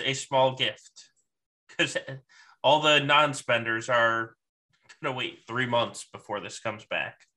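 Speech unfolds fairly slowly. The background is silent in this very clean recording. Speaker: podcast host. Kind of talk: casual roundtable chat.

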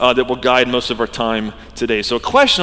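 A man with an American accent uses an ordinary speaking voice at a medium pitch and a moderate pace. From US South, Georgia. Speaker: pastor. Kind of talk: sermon. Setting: church.

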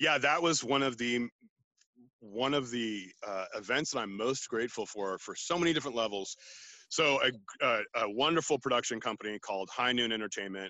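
This man talks at a fairly quick pace in a medium pitch. His pitch varies in an ordinary way. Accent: Californian. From US West Coast, San Francisco Bay Area. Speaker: naturalist and outdoor educator. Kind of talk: casual interview. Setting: video call from a redwood forest.

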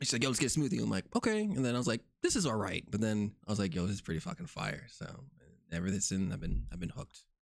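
This voice has vocal fry, very wide pitch swings and a very fast pace. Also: man, fairly low pitch for a man. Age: 30s. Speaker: podcast host. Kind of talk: casual chat.

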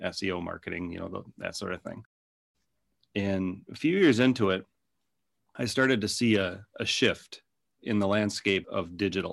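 A man's fairly low voice in a Minnesota accent at a moderate pace. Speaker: digital agency owner. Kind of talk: casual interview.

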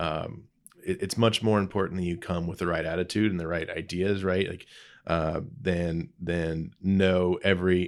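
A man with a Midwestern US accent, very deep and low in pitch, with fairly even intonation, on a very clean recording with a silent background. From Indiana (Lebanon, northwest of Indianapolis). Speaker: agricultural innovation director. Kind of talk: interview conversation. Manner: hesitant, many fillers and repeats.

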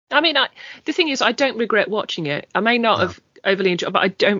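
This speaker has an English accent, a fairly quick pace and ordinary pitch variation. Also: woman. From England. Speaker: podcast host. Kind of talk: casual chat.

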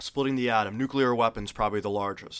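Against a silent background in a very clean recording, a man speaks with a bright, sharp tone and fairly even intonation. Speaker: alien enthusiast guest. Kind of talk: casual interview chat.

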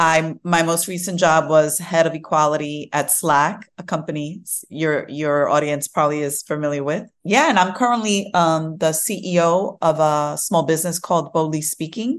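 A woman with a New York accent speaks in a very deep, low voice at a moderate pace with hardly any pauses, over a quiet background. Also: ordinary pitch variation. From Brooklyn, New York. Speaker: tech diversity and inclusion leader. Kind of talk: interview. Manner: casual, filler-heavy.

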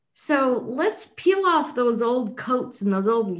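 Moving through very wide pitch swings, a woman with an American accent speaks at a fairly slow pace. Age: 60s. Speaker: podcast host. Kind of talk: interview.

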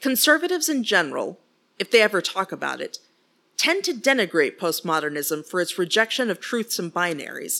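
Delivered at a fairly quick pace with an American accent, the bright, sharp voice swings very widely in pitch. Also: woman, medium pitch for a woman. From West Texas. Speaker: podcast host. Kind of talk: solo commentary podcast.

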